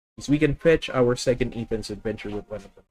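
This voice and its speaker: This man has a Filipino accent and a medium pitch. His pitch variation is ordinary. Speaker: gaming streamer. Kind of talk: live gameplay commentary. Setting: live stream.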